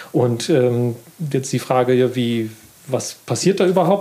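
A man speaks at a fairly slow pace with ordinary pitch variation. Noticeable background noise runs underneath. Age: 50s. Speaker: gardening magazine editor. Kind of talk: casual interview. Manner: halting.

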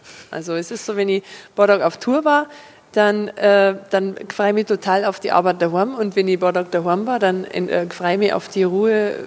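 A woman's medium-pitched voice in an Upper Bavarian accent, with ordinary pitch variation, a moderate pace and noticeable background noise. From Upper Bavaria, Fürstenfeldbruck district. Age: 40s. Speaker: cabaret comedian. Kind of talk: interview. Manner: hesitant, many fillers.

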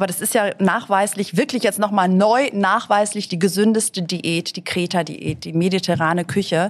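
A woman with an unremarkable speaking voice talks at a medium pitch and moderate pace. Her pitch variation is ordinary, and she hardly pauses. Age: 50s. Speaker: author and TV presenter. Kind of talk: casual interview.

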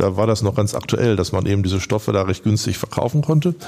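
Over noticeable background noise, a man talks at a very fast pace in a fairly low pitch. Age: 60s. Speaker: commercial real estate broker. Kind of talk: interview.

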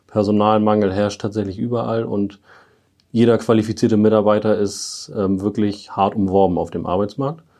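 A dark, mellow tone moves at a moderate pace with fairly even intonation. The background is quiet. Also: man, fairly low pitch for a man. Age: 20s. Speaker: airport firefighter. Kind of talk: interview. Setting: on-site tour of fire station.

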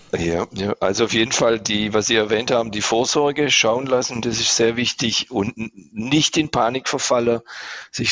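A man's plain, everyday voice at a medium pitch and a moderate pace, with ordinary pitch variation. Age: 50s. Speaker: patient. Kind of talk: casual interview, patient testimony.

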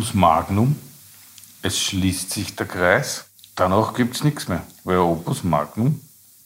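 A man with a very deep, low pitch talks at a very slow pace with lively intonation and long, frequent pauses. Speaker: podcast co-host. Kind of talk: casual chat. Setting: studio.

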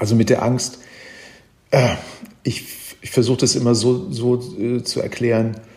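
A man with a medium-pitched voice speaks at a fairly slow pace, his tone dark and mellow and somewhat breathy. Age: 70s. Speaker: travel writer and reporter. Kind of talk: interview. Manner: halting, many fillers and repetitions.

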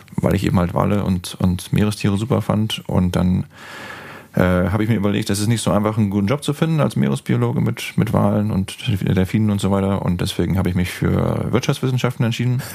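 A man talks very fast in a fairly low pitch, with lively intonation and very even loudness, against noticeable background noise. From northern Germany, Bremen. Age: 30s. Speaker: whale-watching guide. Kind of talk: casual interview. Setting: in person, same room. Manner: hesitant with many fillers.

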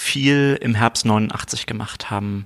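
Very slow pace from a man, his intonation fairly even. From East Berlin. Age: 40s. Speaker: state government minister. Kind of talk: political interview. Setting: office.

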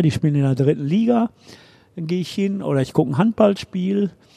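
The sound is dry and close with no echo, carrying a man's dark, mellow tone and ordinary pitch variation. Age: 70s. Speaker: sports reporter. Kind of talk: casual chat.

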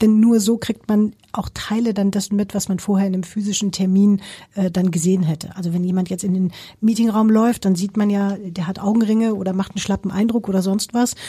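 A woman's somewhat breathy, dark, mellow tone at medium pitch, with monotone, flat intonation and a fairly quick pace, on a very clean recording with a silent background. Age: 50s. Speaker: company CEO. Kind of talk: interview.

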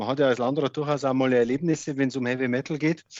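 Here a man speaks in a normal speaking voice, fairly high in pitch. His intonation stays fairly even over a quiet background. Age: 40s. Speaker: district administrator and hobby guitarist. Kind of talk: casual interview.

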